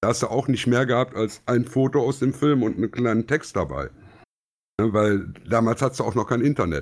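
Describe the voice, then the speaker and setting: Vocal fry from a man at medium pitch and a fairly quick pace, very even in loudness, in a very clean recording with a silent background. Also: ordinary pitch variation. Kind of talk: casual chat.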